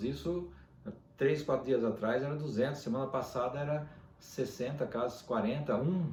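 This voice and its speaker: The man's fairly high-pitched voice carries audible room echo. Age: 60s. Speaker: dentist. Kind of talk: casual video monologue. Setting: at home.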